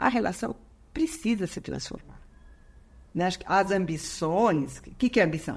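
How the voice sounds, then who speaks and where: A woman speaks at a moderate pace in a fairly low pitch with vocal fry. Her pitch swings very widely. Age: 70s. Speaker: psychologist and couples therapist. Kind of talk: interview conversation. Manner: hesitant, with frequent fillers.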